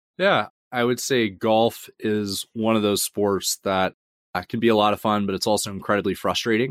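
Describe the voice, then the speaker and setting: A man's normal speaking voice with an American accent, fairly low in pitch, with fairly even intonation and a dry, close sound free of echo. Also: moderate pace, very clean recording, silent background. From US South, Georgia (Atlanta suburbs). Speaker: fintech founder and CEO. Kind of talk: interview.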